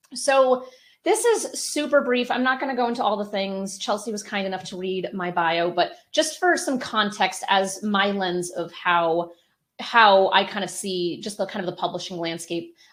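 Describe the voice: The woman has a medium pitch and a fairly bright tone. She keeps a moderate pace with ordinary pitch variation.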